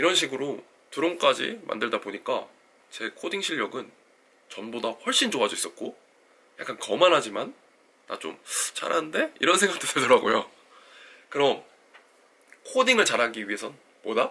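A man talks at a moderate pace with long, frequent pauses and big swings in loudness. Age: 30s. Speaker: engineering graduate student and coding YouTuber. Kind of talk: scripted talk to camera.

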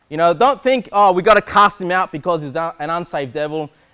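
Speaking at a fairly quick pace, a man uses a fairly bright tone with ordinary pitch variation.

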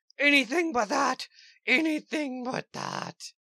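At a fairly slow pace, a female-sounding cartoonish character voice speaks at a high pitch. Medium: puppet. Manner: whiny, pleading.

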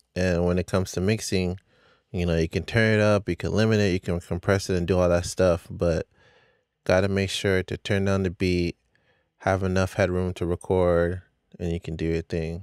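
A man speaks at a moderate pace in a very deep, low voice with flat, monotone intonation, recorded dry with no echo against a quiet background. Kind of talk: tutorial. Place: studio. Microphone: studio mic.

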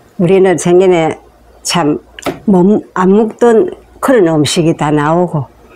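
Over light background noise, a woman with a fairly low pitch speaks at a very slow pace. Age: 80s+. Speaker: elderly storyteller. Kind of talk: casual talk, life story interview answers. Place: home room. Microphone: lapel.

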